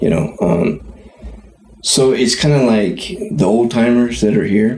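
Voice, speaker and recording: A man with an American accent and a medium pitch talks at a fairly slow pace with very even loudness. Noticeable background noise and audible room echo surround him. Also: lively intonation. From California, Tuolumne County. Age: 50s. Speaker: podcast co-host. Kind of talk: casual chat.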